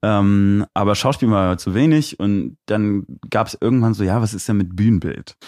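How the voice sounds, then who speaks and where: A man's normal speaking voice, fairly low in pitch with ordinary pitch variation, at a moderate pace, dry and close with no echo. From Aachen, Germany. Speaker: DJ and music producer. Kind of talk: casual interview. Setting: live stream studio.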